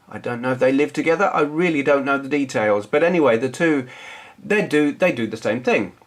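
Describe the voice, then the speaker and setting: Lively intonation marks this voice with a southern English accent. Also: man, fairly high pitch for a man, fairly quick pace. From southern England. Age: 40s. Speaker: retro gaming youtuber. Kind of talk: casual vlog chat. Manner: casual, hesitant with fillers.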